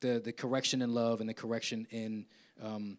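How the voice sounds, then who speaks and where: A man with an unremarkable speaking voice and medium pitch talks at a fairly quick pace in a very clean recording with a silent background. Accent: American. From South Jersey (Willingboro), US. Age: 50s. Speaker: keynote speaker, university professor. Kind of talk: conference Q&A answer. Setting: live conference in church with audience. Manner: conversational, repeats words.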